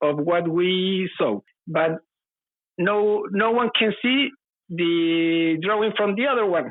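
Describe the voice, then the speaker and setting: A woman speaks at a very slow pace. Her loudness stays very even. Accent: Spanish. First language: Spanish. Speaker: UFO witness. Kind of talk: testimony. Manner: halting.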